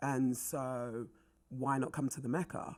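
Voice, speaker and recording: A woman with a London accent speaks at a fairly slow pace on a very clean recording with a silent background. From North London, England (Wembley), Jamaican family. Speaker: actress. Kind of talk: casual chat.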